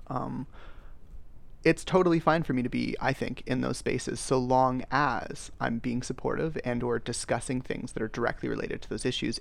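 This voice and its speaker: Speaking in a Canadian accent with vocal fry, a man keeps a fairly quick pace at medium pitch. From Canada. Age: 30s. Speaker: podcast host. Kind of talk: interview.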